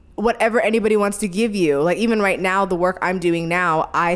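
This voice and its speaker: Speaking with an American accent, a woman uses a plain, everyday voice at medium pitch, moderate pace and ordinary pitch variation. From California. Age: 20s. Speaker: podcast co-host. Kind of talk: casual chat.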